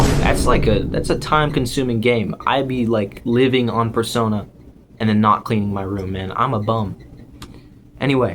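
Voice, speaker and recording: A man's medium-pitched voice at a moderate pace, with fairly even intonation and noticeable background noise. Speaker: YouTuber. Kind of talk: casual vlog rant. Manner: halting.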